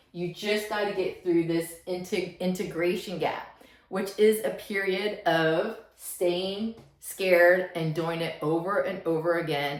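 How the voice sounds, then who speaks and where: A woman's fairly low pitch with ordinary pitch variation, at a very slow pace, amid audible room echo and noticeable background noise. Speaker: self-help vlogger. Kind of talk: motivational talk to camera. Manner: slightly halting, stuttering.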